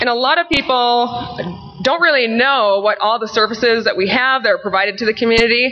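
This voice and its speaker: Against noticeable background noise, a woman with a high pitch talks at a fairly quick pace with hardly any pauses, ordinary pitch variation and very even loudness. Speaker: fitness program manager and presenter. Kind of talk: conference presentation. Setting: conference session with microphone.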